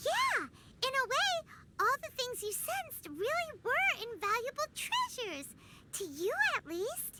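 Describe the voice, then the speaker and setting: Over loud background noise, a squeaky, put-on character voice speaks at a fairly slow pace and an extremely high pitch. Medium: video game.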